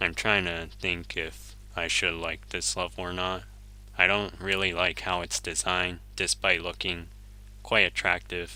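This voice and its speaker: A man's very deep, low voice with vocal fry and a bright, sharp tone, at a fairly slow pace with ordinary pitch variation, on a very clean recording with a silent background. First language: Japanese. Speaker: video game streamer. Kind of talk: gameplay live stream commentary. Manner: casual, thinking aloud.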